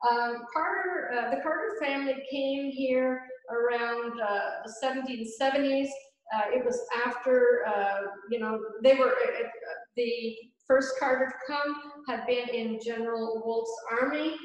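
A woman with a high voice and fairly even intonation speaks at a fairly slow pace with long, frequent pauses, with audible room echo over a quiet background. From Gaspé Peninsula, Quebec; Quebec. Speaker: painter. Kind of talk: casual interview. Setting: community centre cafe.

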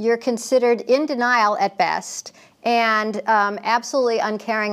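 A woman speaks against a quiet background. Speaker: interview guest. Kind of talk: interview answer. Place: studio.

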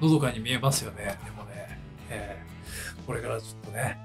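A man's voice with clear music in the background. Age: 50s. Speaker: guitarist. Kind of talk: casual talk to camera. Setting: backstage dressing room. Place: home room. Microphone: camera far.

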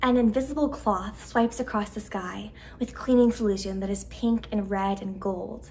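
The text is read out plainly. Nothing beyond plain reading aloud.

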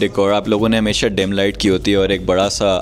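A man's fairly low voice at a very fast pace, with light background noise. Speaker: vlogger host. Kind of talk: casual vlog chat. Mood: upbeat, friendly. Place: cafe. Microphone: handheld.

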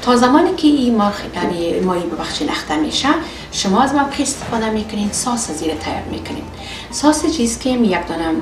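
Music plays in the background as the voice moves at a fairly quick pace. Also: woman. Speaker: cooking show host. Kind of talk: tutorial. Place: kitchen.

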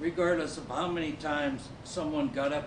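Through noticeable background noise, a man with an American accent speaks at a fairly high pitch with fairly even intonation. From Nebraska. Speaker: Army Ranger Vietnam veteran. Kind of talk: staged testimony. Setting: stage with audience. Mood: earnest, grave. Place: stage. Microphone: camera far.

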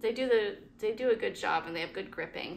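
Light background noise sits behind a woman speaking with vocal fry at a moderate pace. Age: 40s. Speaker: travel vlogger. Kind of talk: gear tutorial. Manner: casual, with fillers. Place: home room. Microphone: phone near.

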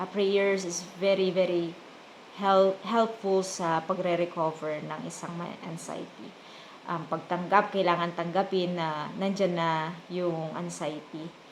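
The delivery is very slow, with monotone, flat intonation. Loudness swings widely throughout. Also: woman, fairly low pitch for a woman. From Philippines, provinces. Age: 40s. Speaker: vlogger. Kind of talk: casual vlog talk. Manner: halting, many fillers.

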